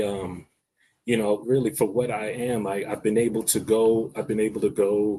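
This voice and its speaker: Speaking in a New York accent against a quiet background, a man with a dark, mellow tone talks at medium pitch and a moderate pace with ordinary pitch variation. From New York, South Bronx. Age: 40s. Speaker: guest who stutters. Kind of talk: interview conversation. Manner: stutters; casual, repetitive phrasing.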